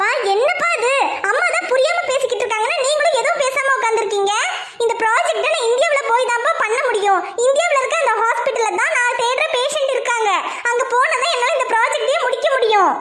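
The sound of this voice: A cartoonish character voice, female-sounding and extremely high-pitched, at a moderate pace over clear background noise.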